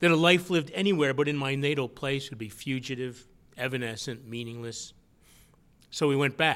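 A man with a Western New York accent at a moderate pace, fairly high in pitch with ordinary pitch variation, in a very clean recording with a silent background. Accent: Western New York (Inland North) American. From Western New York, rural county near Buffalo. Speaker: author. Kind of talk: lecture.

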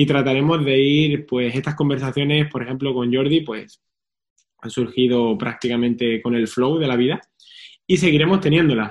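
A man speaks at a moderate pace, his medium pitch rising and falling in an ordinary way. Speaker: fitness coach and podcast host. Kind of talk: casual interview chat. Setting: video call stream.

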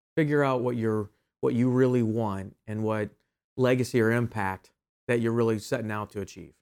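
Using a normal speaking voice, a man with an American accent talks at medium pitch with fairly even intonation. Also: moderate pace. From Ohio, US Midwest. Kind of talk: interview. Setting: studio.

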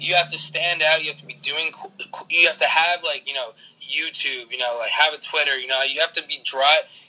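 Over noticeable background noise, a man with an American accent talks at a fairly quick pace in a fairly high voice with fairly even intonation. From New Jersey, Bergen County. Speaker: social media influencer. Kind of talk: casual interview.

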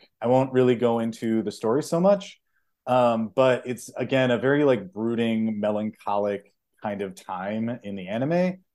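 This man has a plain, everyday voice with an American accent. His pitch is medium and his pace is moderate. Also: ordinary pitch variation, very clean recording, silent background. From Chicago, US Midwest. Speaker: podcast co-host. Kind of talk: casual chat.

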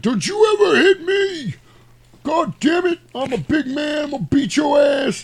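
In a put-on character voice, a man talks at an extremely high pitch and a moderate pace. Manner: angry, threatening.

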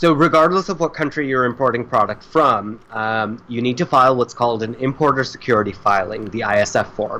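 With an American accent, a man speaks at a fairly quick pace in a medium-pitched voice that has a bright, sharp tone and ordinary pitch variation. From South Florida, Indian family. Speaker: shipping and logistics worker. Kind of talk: casual interview.

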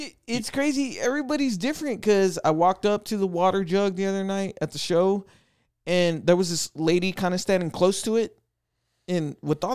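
Lively intonation from a man at a high pitch and fairly quick pace, dry and close with no echo, on a very clean recording with a silent background. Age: 30s. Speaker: tattoo shop and gym owner. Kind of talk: casual chat.

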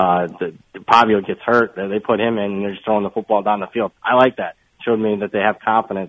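His pitch is fairly low, and his intonation stays monotone and flat. The man speaks at a fairly quick pace. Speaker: sports analyst. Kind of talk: casual chat.

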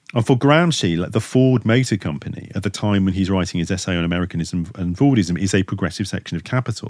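Over a silent background on a very clean recording, a man with a fairly low pitch speaks at a fairly quick pace with lively intonation. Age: 50s. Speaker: professor. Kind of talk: interview. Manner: halting, many self-corrections and repetitions.

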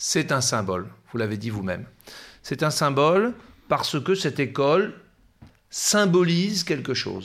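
A man speaks at a fairly high pitch with vocal fry and very wide pitch swings. His pace is fairly slow, with long, frequent pauses, in a very clean recording with a silent background. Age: 40s. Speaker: professor. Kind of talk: interview. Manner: halting.

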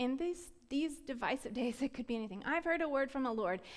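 A woman speaks in a high voice with very wide pitch swings. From US South, Florida. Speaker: preacher. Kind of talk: sermon.

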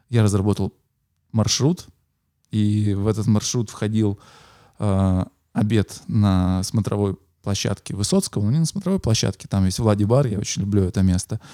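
In a very clean, dry, close recording with a silent background and no echo, a man with a fairly low pitch and a dark, mellow tone speaks at very even loudness with ordinary pitch variation and long, frequent pauses. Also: moderate pace. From Russia, Yekaterinburg. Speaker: podcast host, musician. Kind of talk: casual chat. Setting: recording location in a city building.

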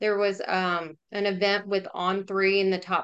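Against a quiet background, a woman with a Southern US accent speaks in a medium pitch. Her tone is bright and sharp. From Jackson, Mississippi. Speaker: business development executive. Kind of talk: interview.

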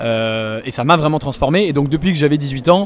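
Talking at a fairly quick pace, a man has a fairly high voice with ordinary pitch variation. Noticeable background noise is present. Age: 20s. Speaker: startup investor. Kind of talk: interview. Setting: startup incubator in Paris.

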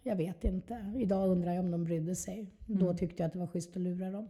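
At a fairly quick pace, a woman with a medium pitch speaks in a dark, mellow, somewhat breathy tone with fairly even intonation. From Skåne, southern Sweden. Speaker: recovering addict sharing her story. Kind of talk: testimony.

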